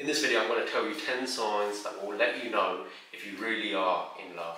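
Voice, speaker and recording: A man speaks at a fairly quick pace, with audible echo from the room. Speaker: relationship advice creator. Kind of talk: advice talk to camera. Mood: calm, warm, earnest. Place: home room.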